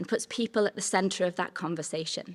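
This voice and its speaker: Someone with a Manx accent speaks on a very clean recording with a silent background. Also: woman. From Isle of Man. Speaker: sustainability trainer, social enterprise co-founder. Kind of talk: conference workshop talk.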